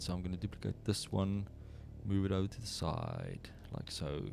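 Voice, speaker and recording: A man with a South African accent and a fairly low pitch, music in the background. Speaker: 3D artist streamer. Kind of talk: live tutorial stream. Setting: livestream. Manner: casual, thinking aloud.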